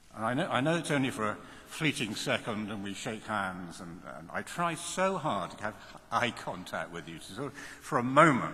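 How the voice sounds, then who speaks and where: Over noticeable background noise and audible room echo, a man talks at a moderate pace with a medium pitch and lively intonation. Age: 70s. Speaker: university chancellor. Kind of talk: commencement speech. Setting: large hall with audience. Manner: animated.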